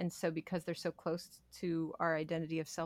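At a moderate pace, the talking comes across on a very clean recording with a silent background. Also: woman. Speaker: podcast host and meditation teacher. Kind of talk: interview conversation.

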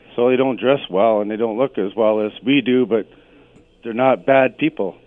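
Talking at a fairly quick pace with a Canadian accent, a man has a plain, everyday voice of medium pitch and fairly even intonation. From Canada, Sault Ste. Marie, Ontario. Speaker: caller. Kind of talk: radio call-in. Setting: phone call.

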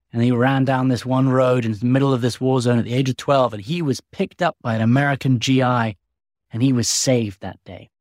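A man with an English accent, medium pitch, fairly even intonation and a fairly quick pace. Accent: English-sounding. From US. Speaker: podcast host and war correspondent. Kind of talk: scripted narration.

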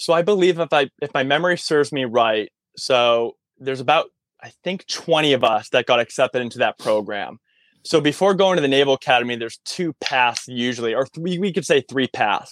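A man with an American accent talks at a fairly quick pace with lively intonation and a fairly high pitch. His is an unremarkable speaking voice, dry and close with no echo. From Massachusetts, near Concord. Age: 30s. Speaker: military veteran and personal trainer. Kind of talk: casual interview. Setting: in his van, remote call.

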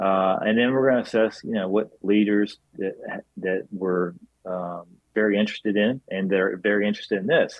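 An ordinary speaking voice from a man with an American accent, fairly low in pitch, at a moderate pace with fairly even intonation. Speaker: former congressman, political organization director. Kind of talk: interview. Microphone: outdated computer, dropped connection.

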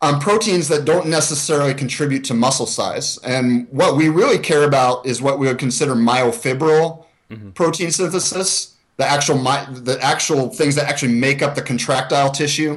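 Speaking at a fairly quick pace with hardly any pauses, a man uses a normal speaking voice, fairly high in pitch with ordinary pitch variation. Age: 40s. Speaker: exercise science researcher and coach. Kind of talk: interview.

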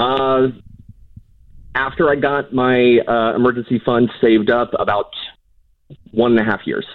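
This man speaks with an American accent at a medium pitch and a fairly slow pace. His intonation is monotone and flat, broken by long, frequent pauses. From Southern California. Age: 30s. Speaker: caller. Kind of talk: call-in advice conversation. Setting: phone call.

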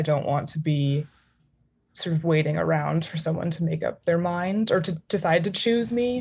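A woman with an American accent speaks at a moderate pace. Her voice is fairly low in pitch and somewhat breathy. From United States. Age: 20s. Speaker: caller seeking relationship advice. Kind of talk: casual chat.

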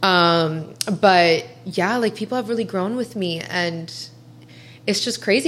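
A woman with an American accent speaks in an ordinary speaking voice, her medium pitch carried by lively intonation. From US Midwest (Columbus, Ohio). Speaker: social media influencer. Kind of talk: casual interview chat.

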